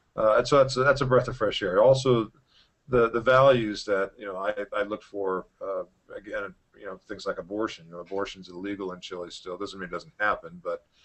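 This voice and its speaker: Using an American accent, a man speaks at a fairly quick pace. His pitch is fairly low, and his loudness swings widely. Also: ordinary pitch variation. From United States. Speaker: libertarian expat and former congressional candidate. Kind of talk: interview monologue. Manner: halting, many fillers and repetitions.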